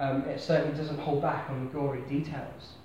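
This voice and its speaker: Over noticeable background noise and audible room echo, a man with a southern English accent talks at a fairly quick pace and a fairly high pitch in a monotone, flat intonation. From southern England, Hampshire (Basingstoke). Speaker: preacher. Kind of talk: sermon. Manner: hesitant, with frequent fillers and repeats.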